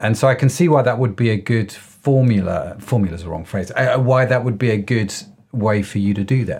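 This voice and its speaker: Somewhat breathy, a man talks at a fairly quick pace with a medium pitch. His pitch varies in an ordinary way. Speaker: podcast host. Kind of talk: casual chat. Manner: animated, jokey.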